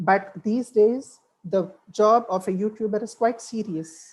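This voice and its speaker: Here a woman speaks with a fairly high pitch. Her tone is dark and mellow, and somewhat breathy. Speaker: webinar speaker, French language professional. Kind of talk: webinar talk.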